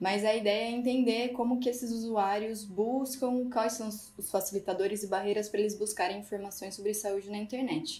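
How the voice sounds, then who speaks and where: Intonation stays fairly level over a dark, mellow tone. Words come at a middling speed. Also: woman, fairly high pitch for a woman, hardly any pauses. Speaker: physiotherapist and master's researcher. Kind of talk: casual panel discussion.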